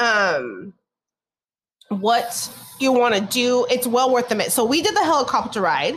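With an American accent, a woman speaks at a high pitch with ordinary variation. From California. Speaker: podcast co-host. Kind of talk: casual chat.

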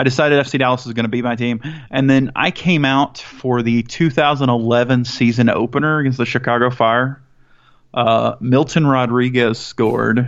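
A plain, everyday voice. The pace is moderate. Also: man, medium pitch for a man. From US South, Mississippi. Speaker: soccer podcast host. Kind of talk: casual chat.

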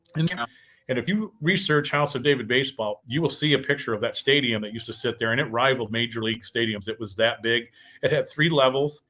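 Loud and very fast, a man with a Midwestern US accent talks at medium pitch with ordinary pitch variation. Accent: US Midwest. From Michigan. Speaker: paranormal show host. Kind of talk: casual livestream chat. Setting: live video stream with soundboard.

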